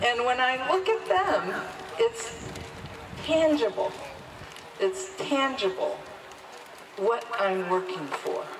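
Noticeable background noise around a woman's high-pitched, very slow speech, full of long, frequent pauses and very wide pitch swings. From Mohawk (Haudenosaunee) and Quebecoise heritage. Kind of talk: speech at a protest rally. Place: street. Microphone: handheld.

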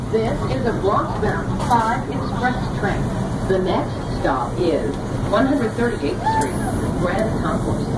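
Through loud background noise, a woman speaks at a very slow pace. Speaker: recorded transit announcer. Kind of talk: public announcement. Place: train.

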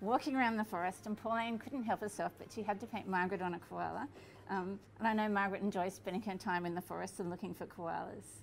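A woman speaks at a very fast pace with ordinary pitch variation, over light background noise. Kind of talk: casual explanation to camera. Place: cafe.

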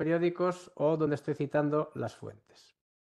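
The speaker is a man with fairly even intonation. The background is quiet. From Galicia, Ourense; Galicia, Spain. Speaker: university professor. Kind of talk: online workshop lecture. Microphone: video call.

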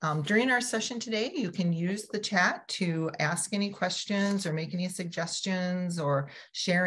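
A woman speaks in a somewhat breathy voice with a fairly low pitch. Her pitch variation is ordinary. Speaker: webinar host. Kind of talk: webinar host introduction. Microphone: video call.

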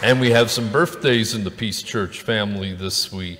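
The man here speaks with fairly even intonation. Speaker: pastor. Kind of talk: church announcements. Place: church. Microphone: podium.

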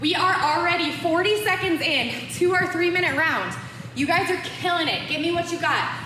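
Projecting her raised voice in an upbeat tone at a moderate pace, a woman keeps her loudness very even amid audible room echo and light background noise. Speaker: fitness instructor. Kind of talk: live-cued home boxing workout instruction, counting reps and cueing moves. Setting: home-workout video recorded in studio. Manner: upbeat, encouraging coach energy, pushing viewers through rounds; casual and playful, joking asides and laughter. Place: gym. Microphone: camera far.

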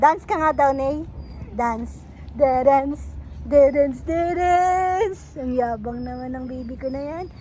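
At a very slow pace, the speaker shows ordinary pitch variation and big swings in loudness, with audible room echo. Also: woman, high pitch for a woman. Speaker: vlogger and mother running a lechon shop. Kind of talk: casual vlog narration. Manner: animated.

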